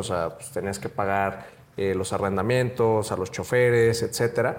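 Intonation stays fairly even at a moderate speed. It is an unremarkable speaking voice. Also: man. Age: young. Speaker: entrepreneur. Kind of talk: casual interview.

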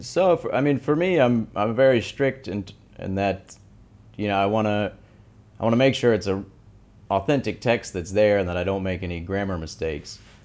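A man with an American accent, fairly low pitch and lively intonation, at a moderate pace with long, frequent pauses. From US South, Tennessee. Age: 30s. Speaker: artist, Arabic calligrapher. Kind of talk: interview.

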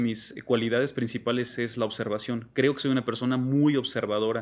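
On a very clean recording with a silent background, a man with a plain, everyday voice speaks at medium pitch with fairly even intonation. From Mexico, Salamanca, Guanajuato. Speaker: graphic designer and digital artist. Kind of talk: interview.

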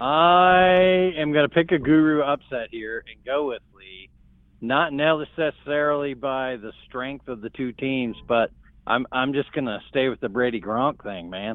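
A man with a plain, everyday voice talks at a fairly slow pace, his fairly high pitch showing ordinary variation. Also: big swings in loudness. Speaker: fantasy football league co-podcaster. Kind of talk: casual chat.

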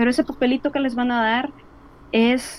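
At a moderate pace, a woman speaks in a high voice with fairly even intonation. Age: 30s. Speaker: illustrator and language student. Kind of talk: casual interview. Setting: video call.

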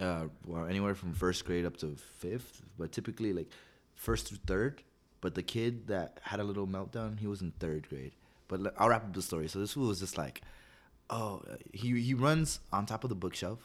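In a very clean recording with a silent background, a man with an American accent and an ordinary speaking voice talks at a moderate pace and a fairly low pitch with lively intonation. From Southern California (La Puente). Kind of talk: casual chat.

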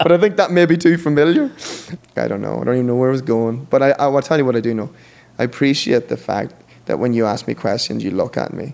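Talking at a very fast pace, a man with an Irish accent uses a medium pitch and lively intonation. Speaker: podcast guest. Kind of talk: interview conversation.

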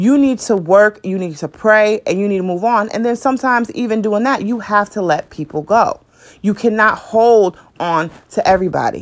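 A woman, in an unremarkable speaking voice, speaks fairly high with ordinary pitch variation at a moderate tempo. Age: 20s. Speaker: podcast host. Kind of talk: casual monologue.

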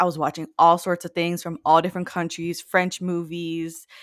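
Speaking at a fairly low pitch in a monotone, flat intonation, a woman with an American accent is heard in a very clean recording with a silent background. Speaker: podcast host, guest. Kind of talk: casual chat.

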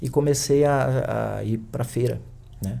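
A man's somewhat breathy voice of medium pitch, dark and mellow in tone, with ordinary pitch variation. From Brazil, Piauí (Picos). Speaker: kung fu teacher. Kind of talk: interview conversation.

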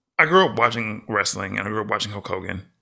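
Bright, sharp tone, lively intonation and a fairly quick pace. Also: man. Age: 30s. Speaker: podcast co-host. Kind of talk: casual chat.

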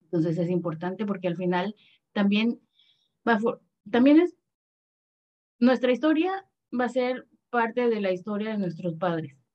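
A woman speaks at a medium pitch, fairly slowly, with lively intonation. Her speech has long, frequent pauses. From Panama. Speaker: adoptee, adoption association member. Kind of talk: casual chat.

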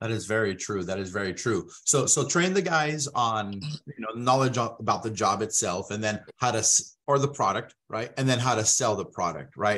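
A man with a normal speaking voice talks at a moderate pace and a medium pitch, with lively intonation. He takes hardly any pauses. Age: 30s. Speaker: podcast host. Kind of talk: sales pitch; interview.

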